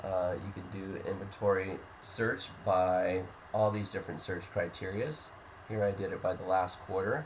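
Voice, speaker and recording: With audible room echo, a man talks at a fairly slow pace in a fairly low pitch. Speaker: software demo presenter. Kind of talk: software tutorial walkthrough.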